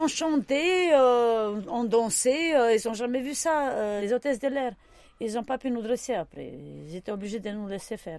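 Lively intonation marks this woman's fairly slow speech. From Romania, Romani. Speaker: circus performer. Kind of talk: interview.

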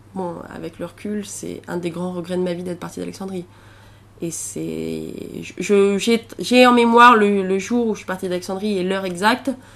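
In an unremarkable speaking voice, a woman speaks at a moderate pace with fairly even intonation and big swings in loudness. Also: medium pitch for a woman. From central France (Auvergne). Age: 20s. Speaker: traveller interviewee. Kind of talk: interview testimony.

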